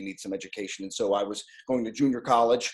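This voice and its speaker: In an American accent, a man talks at a fairly quick pace with an ordinary speaking voice against a quiet background. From Ohio, Cleveland area. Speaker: Navy veteran and IT sales professional. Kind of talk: interview.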